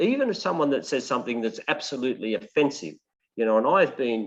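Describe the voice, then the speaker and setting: Here a man with an Australian accent talks at a moderate pace against a quiet background. His pitch is medium and his intonation lively. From Maitland, New South Wales, Australia. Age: 60s. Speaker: political candidate. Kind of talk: interview. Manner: halting, with many fillers.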